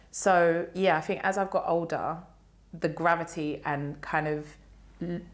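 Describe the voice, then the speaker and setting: A woman speaks in a South London accent at a fairly slow pace. Her fairly low voice has a monotone, flat intonation. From South London (Lee, southeast London). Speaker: cultural commentator and podcaster. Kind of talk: podcast interview.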